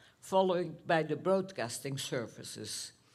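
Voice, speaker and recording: Speaking with a Dutch accent at a fairly low pitch, a woman uses lively intonation at a fairly slow pace, with audible room echo. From Netherlands. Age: 90s. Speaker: Holocaust survivor. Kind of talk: talk to students. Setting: school theater with audience.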